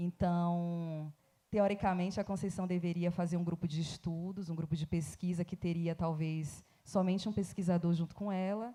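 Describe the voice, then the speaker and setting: With a Bahian accent, this woman speaks in a fairly low, dark, mellow voice with monotone, flat intonation. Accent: Bahian Brazilian Portuguese. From Bahia, Recôncavo region, Brazil. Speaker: academic researcher. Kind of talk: panel talk. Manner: slow.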